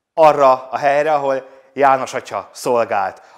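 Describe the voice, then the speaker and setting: The background stays quiet. At a fairly slow pace, a man is talking. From Budaörs, Hungary; Hungary. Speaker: priest. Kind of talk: testimony. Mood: warm, smiling, nostalgic. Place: home room. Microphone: lapel.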